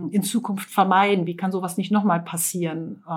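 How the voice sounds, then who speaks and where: Her voice somewhat breathy, a woman talks at a fairly quick pace with a medium pitch and fairly even intonation. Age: 40s. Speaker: construction company owner. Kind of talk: interview.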